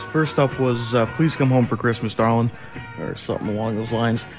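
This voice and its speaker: Music plays in the background as a man talks fairly quickly at medium pitch with fairly even intonation. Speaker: college radio DJ. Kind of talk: college radio DJ aircheck. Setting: over-the-air radio broadcast.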